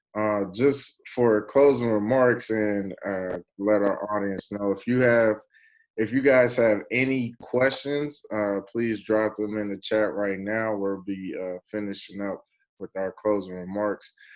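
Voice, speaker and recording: A man with a plain, everyday voice and an American accent talks at a fairly slow pace, his pitch fairly low and his intonation fairly even. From Dayton, Ohio. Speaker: online show host. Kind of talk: casual interview hosting on a video call.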